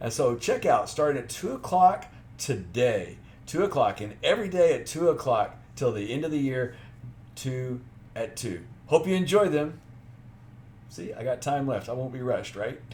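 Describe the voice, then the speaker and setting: Somewhat breathy and fairly high-pitched, a man speaks at a moderate pace with lively intonation and long, frequent pauses. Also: big swings in loudness. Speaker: genealogy YouTuber. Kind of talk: video announcement.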